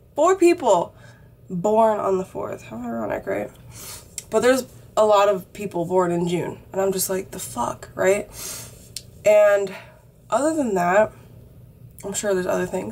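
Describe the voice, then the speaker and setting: Over noticeable background noise, a woman speaks with lively intonation, big swings in loudness, and long, frequent pauses. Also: medium pitch for a woman. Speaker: vlogger. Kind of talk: casual chat. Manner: casual with many fillers.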